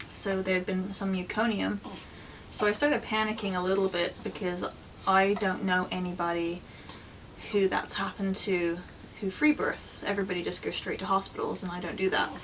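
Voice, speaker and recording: Over noticeable background noise, the speaker talks at a fairly quick pace with fairly even intonation. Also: woman, medium pitch for a woman. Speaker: vlogger sharing her birth story. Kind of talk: personal storytelling vlog. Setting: at home with newborn. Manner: quiet, soft-spoken; casual, filler-heavy.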